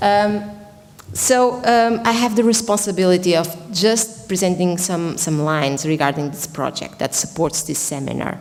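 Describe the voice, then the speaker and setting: A woman speaks with lively intonation. Noticeable background noise and audible room echo fill the recording. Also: medium pitch for a woman, moderate pace. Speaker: professor and researcher. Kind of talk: conference presentation. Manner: loud.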